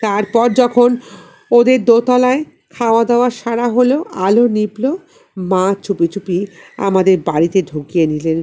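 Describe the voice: Her dark, mellow tone carries a fairly even intonation as the woman speaks at a fairly slow pace with few pauses. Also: medium pitch for a woman.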